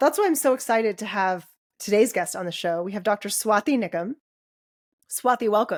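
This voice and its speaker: A normal speaking voice moves at a fairly quick pace with lively intonation, recorded dry and close with no echo. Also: woman, fairly high pitch for a woman. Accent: American. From United States. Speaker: podcast co-host and dentist. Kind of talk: casual podcast conversation.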